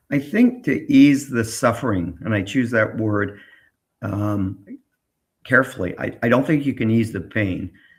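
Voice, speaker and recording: The pitch moves in an ordinary way, with a somewhat breathy quality. The pace is fairly slow. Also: man, medium pitch for a man. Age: 70s. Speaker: tech entrepreneur. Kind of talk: interview.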